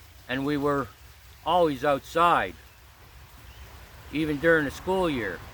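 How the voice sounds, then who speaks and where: Speaking in a Pennsylvania accent, a man uses a fairly high pitch with ordinary pitch variation at a fairly slow pace, with long, frequent pauses. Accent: Pennsylvania American. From Pennsylvania, coal mining town. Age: 60s. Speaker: spiritual vlogger. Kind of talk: casual vlog monologue. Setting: outdoors in a grove.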